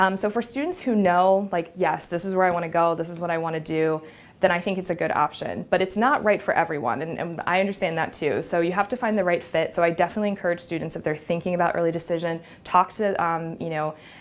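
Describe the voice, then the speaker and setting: A woman's fairly low voice at a very fast pace, with ordinary pitch variation. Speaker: college admissions officer. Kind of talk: informational presentation. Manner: many filler words.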